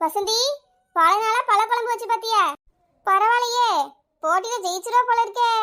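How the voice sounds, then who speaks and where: In a put-on character voice, a woman speaks at a moderate pace, squeaky and extremely high-pitched with fairly even intonation. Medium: cartoon. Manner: warm, motherly, reassuring.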